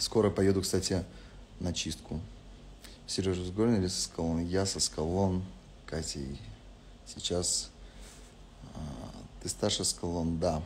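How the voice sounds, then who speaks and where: A man with a very deep, low, somewhat breathy voice speaks in a relaxed tone at a fairly slow pace, flat and monotone, with long, frequent pauses and light background noise. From Spain. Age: 20s. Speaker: reality show participant. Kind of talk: live stream chat answering viewer questions. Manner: casual, relaxed. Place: home room. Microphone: lapel.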